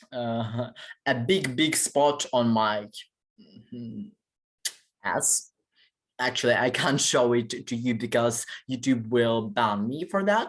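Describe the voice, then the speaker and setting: In a Ukrainian accent, the speaker goes at a very slow pace with long, frequent pauses. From Ukraine. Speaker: vlogger. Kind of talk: personal monologue vlog. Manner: halting, many fillers.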